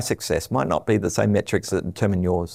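At a fairly quick pace, a man with an Australian accent and a dark, mellow tone shows ordinary pitch variation in a very clean recording with a silent background. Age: 50s. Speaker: telecom executive. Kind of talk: interview.

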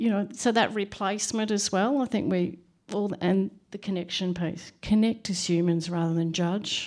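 A woman uses an ordinary speaking voice, medium in pitch, at a moderate pace with ordinary pitch variation. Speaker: audience member asking questions. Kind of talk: audience question. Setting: stage with audience.

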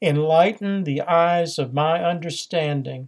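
Fairly slow and fairly high in pitch, a man speaks in an unremarkable speaking voice. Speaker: priest and podcast homilist. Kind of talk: fervent prayer, solemn and devout, read aloud in a reverent liturgical tone; sermon-style homily with teaching commentary. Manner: slow, measured and reverent, with a hushed, pleading earnestness.

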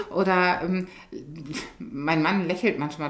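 A woman's fairly low voice with fairly even intonation and audible room echo. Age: 50s. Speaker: hospice coordinator and nurse. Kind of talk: interview.

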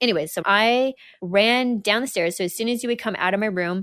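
The speaker has a Canadian accent, heard in a very clean recording with a silent background. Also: woman. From Western Canada. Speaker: gym owner and fitness coach. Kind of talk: interview.

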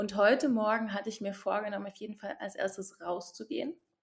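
A woman talks at a fairly quick pace, her pitch fairly high with ordinary variation. Her voice is somewhat breathy. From eastern Saxony, Germany. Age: 20s. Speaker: sexological bodyworker and yoga teacher. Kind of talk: casual interview. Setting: remote call from home.

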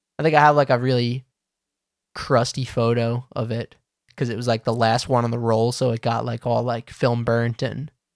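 A man with a medium-pitched voice speaks with an American accent at a moderate pace. His intonation is flat and monotone, and the sound is dry and close with no echo. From Long Island, New York. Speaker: BMX podcast host. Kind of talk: casual chat. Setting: remote call.

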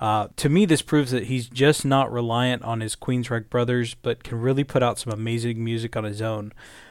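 In an ordinary speaking voice, a man talks at a fairly quick pace with hardly any pauses, his pitch medium and his intonation fairly even. The recording is very clean, with a silent background. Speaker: metal podcast co-host. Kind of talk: casual chat.

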